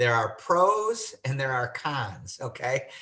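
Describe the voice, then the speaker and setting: A man with an American accent talks at a very slow pace with a bright, sharp tone and vocal fry. His pitch swings very widely. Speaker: estate planning lawyer. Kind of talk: webinar presentation.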